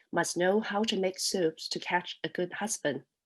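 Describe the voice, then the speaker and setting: A woman speaks with a Cantonese accent. Her pace is moderate. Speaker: poet. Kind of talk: casual talk introducing a poem; poetry reading. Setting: online festival. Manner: halting, many fillers.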